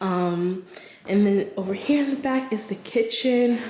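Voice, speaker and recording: A woman speaks at a very slow pace with a medium pitch and lively intonation. The room echo is audible and there's noticeable background noise. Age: 30s. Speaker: lifestyle vlogger. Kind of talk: casual vlog. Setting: lofted rental apartment. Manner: whispering. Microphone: echo in the room.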